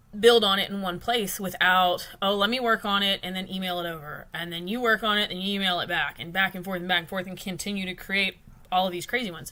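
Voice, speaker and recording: On a very clean recording with a silent background, a woman with a Texan accent talks at a fairly quick pace in a medium pitch with a bright, sharp tone. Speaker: client account consultant. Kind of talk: business livestream talk. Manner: casual with many fillers.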